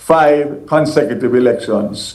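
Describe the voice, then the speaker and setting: Audible room echo follows a man speaking at a fairly high pitch with fairly even intonation. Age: 60s. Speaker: politician. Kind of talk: news interview.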